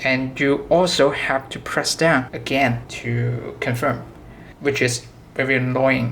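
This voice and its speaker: Speaking very slowly, the voice carries a non-native accent. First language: not English. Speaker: product demonstrator for a synth maker. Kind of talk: product tutorial demo. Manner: halting, self-correcting.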